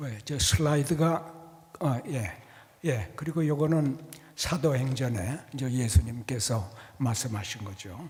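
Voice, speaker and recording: Amid audible room echo, a somewhat breathy man speaks very slowly at medium pitch, with lively intonation and big swings in loudness. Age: 80s+. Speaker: church elder. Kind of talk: testimony talk to congregation. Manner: halting.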